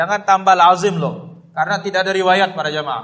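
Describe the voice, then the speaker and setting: A man talks loudly in a high pitch, his tone bright and sharp. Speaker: Islamic preacher. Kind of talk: religious lecture.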